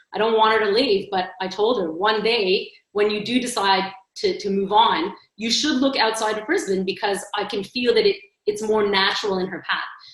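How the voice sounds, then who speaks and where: With a Canadian accent, a woman uses a normal speaking voice at a fairly high pitch and a moderate pace. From Montreal, Canada. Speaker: agency strategy executive, panelist. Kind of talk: panel discussion.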